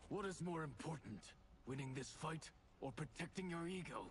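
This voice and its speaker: A man uses a put-on character voice, raspy and fairly high-pitched, at a moderate pace. His loudness stays very even over clear background noise. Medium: video game. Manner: dry, sarcastic.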